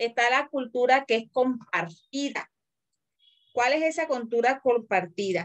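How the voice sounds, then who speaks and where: With very even loudness, a woman speaks at a fairly slow pace with a high pitch and lively intonation. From Colombian Caribbean coast. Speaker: teacher. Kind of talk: lecture.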